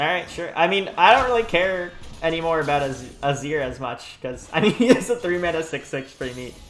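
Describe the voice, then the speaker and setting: This man talks at a fairly quick pace in a high pitch, his intonation lively and his loudness swinging widely, with noticeable background noise behind him. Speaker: gaming YouTuber. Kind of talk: gameplay commentary. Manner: fast.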